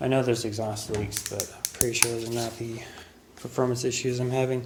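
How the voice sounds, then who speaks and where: Quiet and monotone, a man with a medium pitch talks at a fairly quick pace, his loudness swinging widely amid noticeable background noise and audible room echo. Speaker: car hobbyist doing own repair. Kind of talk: casual vlog narration. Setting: home garage. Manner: quiet, subdued.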